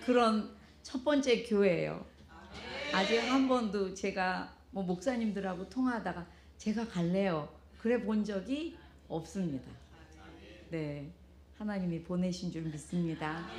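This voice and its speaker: Very slowly, a woman speaks with long, frequent pauses and a somewhat breathy voice. Her intonation is lively, and the room echo is audible. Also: medium pitch for a woman. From South Korea. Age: 70s. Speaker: pastor's wife giving a testimony. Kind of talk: testimony. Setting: church with congregation.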